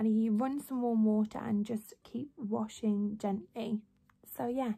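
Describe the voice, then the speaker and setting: A woman speaks at a fairly slow pace with some breathiness. Her pitch varies in an ordinary way. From West Midlands, England (near Birmingham). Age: 20s. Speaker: lifestyle and beauty vlogger. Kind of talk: casual vlog tutorial. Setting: home bedroom. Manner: chatty, rambling. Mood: relaxed, chatty. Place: home room. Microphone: phone near.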